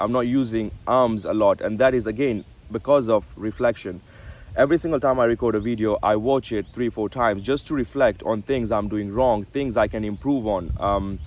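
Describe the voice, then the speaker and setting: A man speaks in a normal speaking voice at a moderate pace. His medium pitch shows ordinary variation. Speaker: self-improvement vlogger. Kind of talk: casual talking-head vlog. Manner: some filler words and self-repairs.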